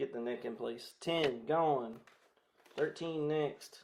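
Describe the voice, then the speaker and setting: Here a man speaks with a Southern US accent. His pitch varies in an ordinary way. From US South (Carolinas). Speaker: guitar content creator. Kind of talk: casual livestream chat while restringing a guitar. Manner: casual, chatty.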